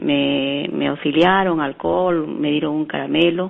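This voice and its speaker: This woman talks. Her pace is very slow. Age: 70s. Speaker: caller. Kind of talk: phone-in question. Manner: halting.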